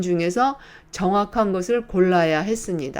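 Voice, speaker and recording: Very slowly, a woman speaks with lively intonation. The recording is very clean, with a silent background. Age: 70s. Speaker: YouTuber. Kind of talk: tutorial.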